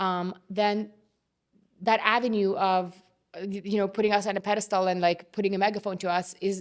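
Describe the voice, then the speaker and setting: A woman speaks at a fairly quick pace with a non-native accent, her medium-pitched voice monotone and flat. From immigrant to Canada, grew up partly abroad. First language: not English. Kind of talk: interview conversation.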